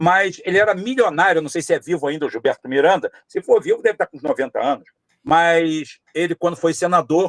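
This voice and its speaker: Fairly quick, high-pitched speech from a man, with ordinary pitch variation and a dry, close sound with no echo. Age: 60s. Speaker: political candidate. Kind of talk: podcast interview. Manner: repetitive, emphatic with frequent fillers.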